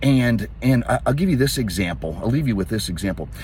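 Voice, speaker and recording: The man sounds somewhat breathy. His pitch swings very widely. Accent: American. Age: 60s. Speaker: fitness coach. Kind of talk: casual talk to camera. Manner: halting.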